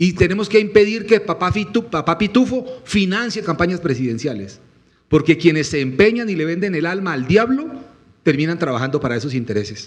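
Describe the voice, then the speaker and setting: Speaking at a fairly quick pace, a man sounds animated, his high pitch making very wide swings. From Colombian Llanos (Meta, Villavicencio area). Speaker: presidential candidate. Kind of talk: panel interview.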